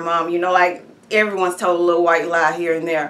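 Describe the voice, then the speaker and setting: A woman with an American accent, in a room with audible echo. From Texas, Hearn. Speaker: activist telling her legal story. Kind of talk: testimony. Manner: halting, many fillers.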